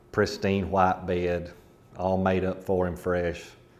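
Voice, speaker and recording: Speaking at a fairly slow pace in a monotone, flat intonation, a man with a very deep, low pitch talks with an Appalachian accent. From rural Kentucky, Appalachia. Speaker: storyteller. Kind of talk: ghost story telling.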